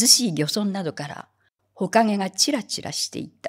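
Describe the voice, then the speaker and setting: A woman sounds strained, with a solemn tone and lively intonation, against a quiet background. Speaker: reader. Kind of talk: literary audiobook reading. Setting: hall with audience, live reading event. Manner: slow, measured, solemn reading with a wistful, restrained tone. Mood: calm, reflective. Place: hall. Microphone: studio mic.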